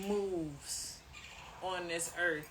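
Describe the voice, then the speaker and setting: Through noticeable background noise and audible room echo, a woman speaks in a fairly low voice with an American accent. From US city. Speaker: co-host. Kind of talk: casual chat. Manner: halting.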